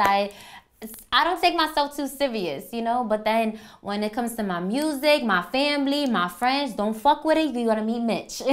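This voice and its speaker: This woman speaks at a moderate pace in a Bronx accent, her fairly high pitch showing ordinary variation. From New York, the Bronx. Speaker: rapper. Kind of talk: interview monologue. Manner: casual, blunt.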